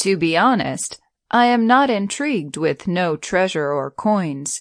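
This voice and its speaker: Against a quiet background, a woman puts on a character voice at a medium pitch, speaking at a fairly slow pace. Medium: read story.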